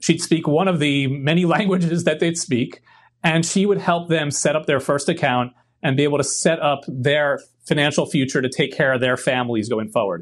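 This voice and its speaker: In an unremarkable speaking voice, a man with an American accent talks at a moderate pace, his pitch fairly high with ordinary variation. His loudness stays very even over a quiet background. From US, Brooklyn, New York. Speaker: financial services executive. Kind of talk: interview.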